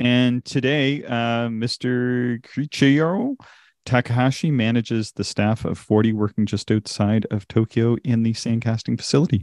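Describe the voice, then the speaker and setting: A plain, everyday voice with a Canadian accent moves at a moderate pace with fairly even intonation, sounding dry and close with no echo against a quiet background. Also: man, medium pitch for a man. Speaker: amateur astronomy podcast host. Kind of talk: casual chat.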